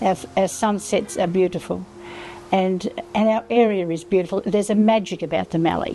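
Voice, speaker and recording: With music in the background, a woman with an Australian accent speaks at a medium pitch and a moderate pace, with ordinary pitch variation. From rural Victoria, Australia. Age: 80s+. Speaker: retired farmer and Landcare advocate. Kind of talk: interview answer.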